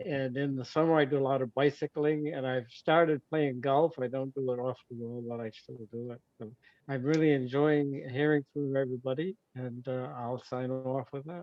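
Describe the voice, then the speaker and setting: A man with a Maine accent speaks at a medium pitch and moderate pace, with hardly any pauses. His intonation is fairly even, but his loudness swings a lot. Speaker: retired physician. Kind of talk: casual chat.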